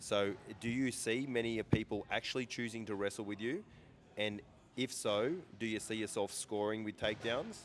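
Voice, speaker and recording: Speaking in an Australian accent, this man keeps a moderate pace. His pitch is medium and his intonation fairly even. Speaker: interviewer. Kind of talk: interview.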